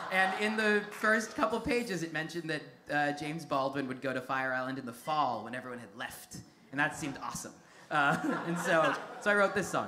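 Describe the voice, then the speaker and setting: A man speaks fairly quickly while noticeable background noise sits behind him. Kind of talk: stage banter introducing a song. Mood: amused, self-deprecating. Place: stage. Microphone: studio mic.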